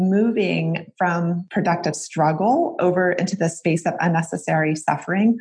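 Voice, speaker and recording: At a moderate pace, a woman talks at medium pitch with ordinary pitch variation and a somewhat breathy quality. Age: 40s. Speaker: psychology professor and nonprofit executive director. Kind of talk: interview.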